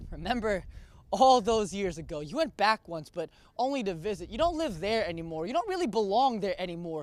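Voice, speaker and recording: High-pitched male speech, passionate in tone, with lively intonation at a fairly quick pace. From Philippines. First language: Filipino language. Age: young. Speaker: spoken word poet. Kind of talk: spoken word performance; casual interview. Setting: college campus.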